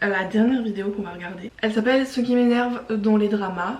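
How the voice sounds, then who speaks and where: A woman talks at a very fast pace and fairly high pitch, with ordinary pitch variation. Noticeable background noise and audible room echo fill the recording. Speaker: YouTuber. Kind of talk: casual vlog commentary. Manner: speaks loudly but cannot shout; casual with filler words.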